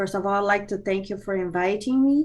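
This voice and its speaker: A woman speaks with a Portuguese accent. Her pitch variation is ordinary. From Brazil. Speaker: business consultant. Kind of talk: interview. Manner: halting, many fillers.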